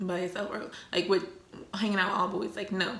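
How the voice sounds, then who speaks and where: Room echo and background noise are both noticeable here. A woman talks at a fairly quick pace in an animated tone. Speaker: YouTuber. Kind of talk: casual storytelling vlog while eating.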